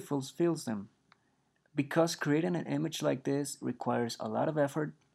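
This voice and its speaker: This man speaks with a Spanish accent at a fairly high pitch. The background is quiet. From Mexico. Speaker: 3D artist and instructor. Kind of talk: tutorial. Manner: hesitant, with frequent fillers.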